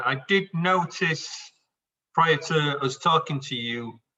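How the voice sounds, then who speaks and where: This man's voice sits fairly high in pitch and varies it in an ordinary way. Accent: Yorkshire. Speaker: whisky group organiser. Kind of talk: group video call Q&A.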